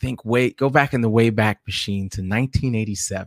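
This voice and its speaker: Speaking at a moderate pace in an ordinary speaking voice, a man with an American accent keeps a medium pitch and ordinary pitch variation, the sound dry and close with no echo. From New York City (South Jamaica, Queens). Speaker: podcaster and blogger. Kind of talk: casual interview.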